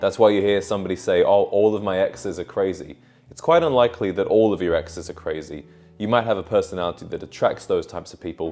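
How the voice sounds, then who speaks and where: With music in the background, a man in a British accent races along at a very fast pace, his loudness swinging widely. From Britain. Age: 20s. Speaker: men's style and self-improvement youtuber. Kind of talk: unscripted personal vlog. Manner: casual, conversational.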